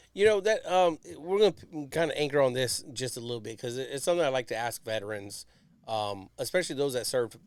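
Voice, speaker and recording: In a very clean recording with a silent background, a man with an unremarkable speaking voice talks at a fairly quick pace with ordinary pitch variation. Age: 40s. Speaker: podcast host, Navy veteran. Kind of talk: casual interview.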